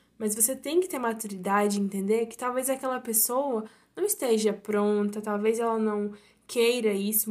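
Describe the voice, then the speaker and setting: A woman speaks in a plain, everyday voice at a fairly high pitch and a fairly slow pace, with ordinary pitch variation. The recording is very clean, with a silent background. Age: 19. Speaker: university student, podcast guest. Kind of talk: casual chat about faith.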